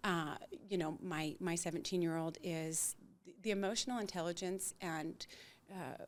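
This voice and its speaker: A woman with a plain, everyday voice talks at a moderate pace and a fairly low pitch. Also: fairly even intonation, big swings in loudness. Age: 60s. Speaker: integrative coach sharing personal story. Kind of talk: podcast interview, personal testimony.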